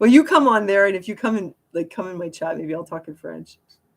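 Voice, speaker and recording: A woman speaks in a Montreal accent at a fairly quick pace. Her intonation is lively. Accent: Montreal anglophone Canadian. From Quebec, Montreal. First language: German. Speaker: live streamer. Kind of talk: casual live-stream talk. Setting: live stream. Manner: casual, filler-heavy.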